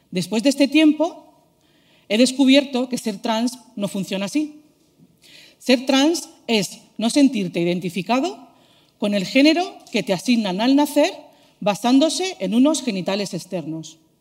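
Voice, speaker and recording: Her pitch high and swinging very widely, a woman speaks at a fairly slow pace. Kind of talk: prepared talk.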